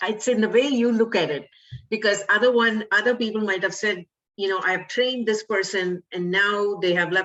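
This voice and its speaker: The pace is moderate and the intonation fairly even. It is a plain, everyday voice. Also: woman, medium pitch for a woman. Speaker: podcast host. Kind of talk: interview host talk.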